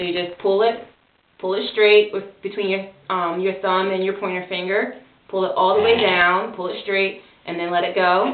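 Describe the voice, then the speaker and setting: A woman's medium-pitched voice moves at a moderate pace with monotone, flat intonation. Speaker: parent doing child's hair. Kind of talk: hair care tutorial talk.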